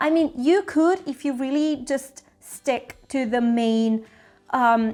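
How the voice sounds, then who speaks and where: A woman speaks in an Italian accent with lively intonation. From Italy, Rome. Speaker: travel vlogger. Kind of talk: travel tips vlog. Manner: casual, chatty.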